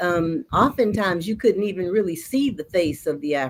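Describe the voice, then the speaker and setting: In a normal speaking voice, a woman with a medium pitch uses lively intonation at a moderate pace. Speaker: storyteller. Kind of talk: interview answer.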